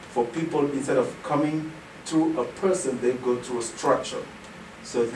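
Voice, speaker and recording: A man talks at a moderate pace with a fairly high pitch. Room echo is audible and background noise is noticeable. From Senegal. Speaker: nonprofit executive director. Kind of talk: radio interview.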